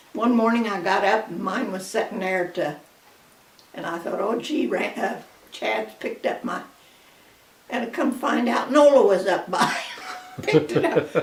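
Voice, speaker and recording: A woman with an American accent talks at a moderate pace and medium pitch, with very wide pitch swings and long, frequent pauses. Audible room echo and noticeable background noise surround her voice. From US Midwest, Kansas. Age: 90s. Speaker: grandmother. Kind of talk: casual chat.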